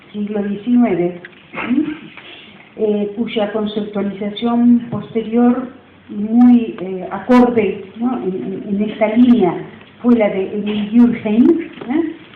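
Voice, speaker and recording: Audible room echo and noticeable background noise surround a woman's fairly high voice. She speaks at a very slow pace with ordinary pitch variation. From Río de la Plata region. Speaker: university professor. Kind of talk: lecture.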